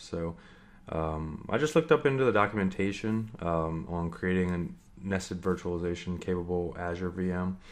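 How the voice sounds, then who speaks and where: This man's voice is very deep and low, with ordinary pitch variation. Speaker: network engineer tutorial creator. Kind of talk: screen-share tutorial. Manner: casual, many fillers (um, uh). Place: home room.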